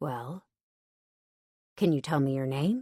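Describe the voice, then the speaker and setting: Using a put-on character voice, a woman speaks very deep and low, with ordinary pitch variation. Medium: read story.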